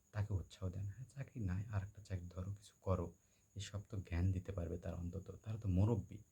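A somewhat breathy man with a dark, mellow tone, fairly low pitch, fairly even intonation and big swings in loudness. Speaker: vlogger. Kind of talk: personal storytelling monologue. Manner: halting, with many pauses and fillers.

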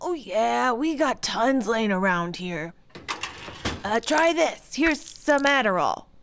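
A woman does a cartoonish character voice with a fairly high pitch and very wide pitch swings, going at a fairly slow pace with long, frequent pauses. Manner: breezy enabler, then offended.

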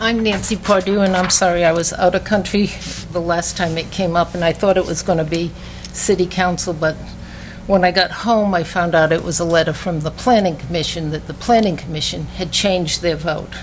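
Against noticeable background noise and audible room echo, a woman speaks at a fairly quick pace with a fairly low pitch and fairly even intonation. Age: 70s. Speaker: resident speaking at council meeting. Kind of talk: public comment. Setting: city council meeting.

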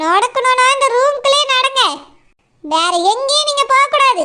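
A woman's cartoonish character voice at an extremely high pitch, with lively intonation and a fairly slow pace. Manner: curt, suspicious, bossy.

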